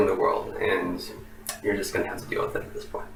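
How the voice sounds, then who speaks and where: An American accent with audible room echo and noticeable background noise. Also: man. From Oklahoma, US. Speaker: university professor. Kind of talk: lecture. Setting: recorded video for online course. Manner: relaxed with many fillers.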